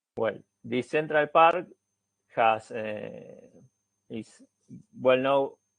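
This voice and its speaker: A man with a Spanish accent at a very slow pace, with ordinary pitch variation. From Argentina. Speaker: researcher, forest engineer. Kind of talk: academic seminar presentation. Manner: halting, many fillers.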